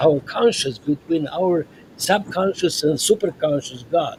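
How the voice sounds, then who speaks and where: Noticeable background noise sits behind a man speaking at a fairly slow pace in a high pitch. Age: 80s+. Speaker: psychiatrist. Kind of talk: podcast interview. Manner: halting.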